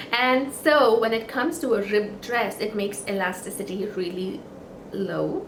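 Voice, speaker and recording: Amid audible room echo and noticeable background noise, a woman's pitch varies in an ordinary way. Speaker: knitting podcaster. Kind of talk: casual chat. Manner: halting.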